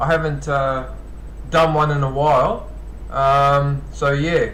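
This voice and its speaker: Amid audible room echo, a man talks at a very slow pace in a fairly high voice, with monotone, flat intonation and very even loudness. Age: 50s. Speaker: live streamer promoting other channels. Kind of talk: casual live stream chat with viewers. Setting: live stream. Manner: halting, frequent false starts.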